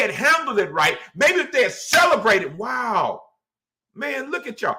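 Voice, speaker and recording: Shouting in a raised, projected voice, a man sounds animated, with a bright, sharp tone at a fairly slow pace. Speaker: pastor. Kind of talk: bible study teaching. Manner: loud, yelling.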